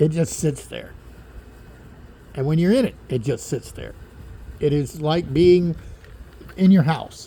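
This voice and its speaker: A fairly high-pitched man, fairly slow, with long, frequent pauses, big swings in loudness and ordinary pitch variation. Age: 60s. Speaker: boat owner vlogger. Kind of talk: casual video tour. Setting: outdoors on a yacht. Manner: casual with fillers.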